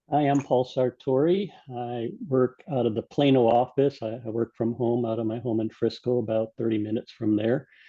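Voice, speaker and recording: A man speaks in a normal speaking voice at a moderate pace, with hardly any pauses. His pitch is medium, with ordinary variation. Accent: American. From United States. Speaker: sales team member. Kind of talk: video call introduction. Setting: video call from home.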